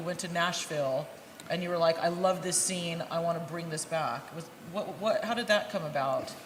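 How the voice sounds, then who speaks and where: A woman with an American accent speaks at a fairly quick pace and a fairly low pitch with ordinary pitch variation, with audible room echo and noticeable background noise. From United States. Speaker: interviewer, author and academic. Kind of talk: interview. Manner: loud.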